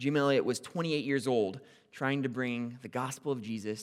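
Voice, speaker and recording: Using a medium pitch and ordinary pitch variation, a man talks at a fairly quick pace. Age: 20s. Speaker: campus minister and lay preacher. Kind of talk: sermon. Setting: church service with congregation. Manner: loud, excitable.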